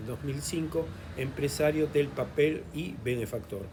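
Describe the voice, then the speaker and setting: The speech has lively intonation, and audible room echo surrounds it. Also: man. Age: 70s. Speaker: historian and lecturer. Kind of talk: lecture. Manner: halting, frequent fillers.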